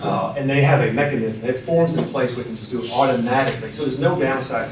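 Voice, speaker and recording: Amid noticeable background noise and audible room echo, a man with medium pitch speaks at a very fast pace. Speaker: patent attorney. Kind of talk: lecture.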